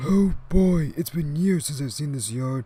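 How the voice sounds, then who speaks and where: This put-on character voice sits at a low-to-middle pitch and moves at a moderate pace. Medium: machinima.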